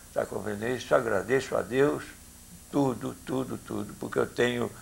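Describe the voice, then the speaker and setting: A man talking at a moderate pace over noticeable background noise. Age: 70s. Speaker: former cinema owner. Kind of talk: interview.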